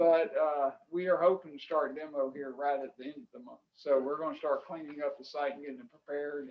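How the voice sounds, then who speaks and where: Speaking with a Florida Panhandle accent, a man keeps a fairly quick pace and a fairly high pitch. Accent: Southern US, Florida Panhandle. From Florida Panhandle (Pensacola). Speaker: restaurant developer. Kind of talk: public meeting testimony. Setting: county commission meeting. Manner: halting.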